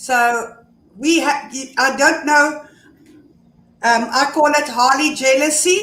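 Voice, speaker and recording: Using a raised, projected voice, a woman speaks at a very slow pace with a high pitch, a bright, sharp tone and ordinary pitch variation. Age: 60s. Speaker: motorcycle club officer. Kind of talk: casual chat.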